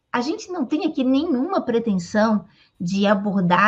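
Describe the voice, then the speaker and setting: Moderate pace and ordinary pitch variation from a woman against a quiet background. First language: Portuguese (speaking Spanish). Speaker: interviewer. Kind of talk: interview.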